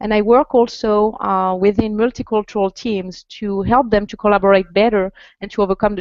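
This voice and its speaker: The speaker talks with a French accent at a fairly quick pace. The intonation stays fairly even. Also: woman. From France. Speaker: executive coach. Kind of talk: interview. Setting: video call.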